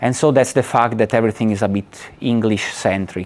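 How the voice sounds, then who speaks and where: In an Italian accent, the speaker moves at a fairly quick pace with ordinary pitch variation. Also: man. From Italy. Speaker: lecturer. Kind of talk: lecture. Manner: halting.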